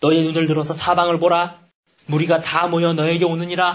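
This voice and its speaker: The speaker is a man with a fairly high pitch. His tone is animated. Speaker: pastor. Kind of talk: sermon.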